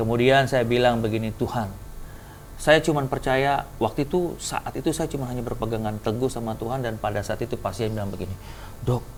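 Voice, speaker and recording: A man speaks with a Papuan accent at a fairly quick pace, with music in the background. His pitch is medium, with ordinary pitch variation. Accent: Papuan accent in quoted speech. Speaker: heart and lung surgeon. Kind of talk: testimony. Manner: animated.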